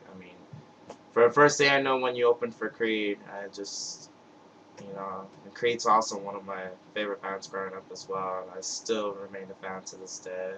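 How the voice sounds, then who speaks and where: Against noticeable background noise, a man with an American accent and fairly low pitch speaks at a moderate pace. His intonation is fairly even, but his loudness swings widely. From US Northeast (Brooklyn, New York). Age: 20s. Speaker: music fan vlogger. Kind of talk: webcam video message. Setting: webcam recording. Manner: halting, stuttering.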